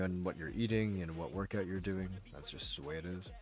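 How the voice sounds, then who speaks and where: A man's very deep, low voice with fairly even intonation over music in the background. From England. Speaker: livestreamer. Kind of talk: casual chat. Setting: livestream.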